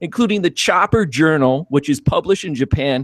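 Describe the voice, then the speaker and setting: Over a quiet background, a man's voice swings very widely in pitch, with a dry sound and no echo. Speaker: podcast co-host. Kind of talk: guest introduction. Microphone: video call.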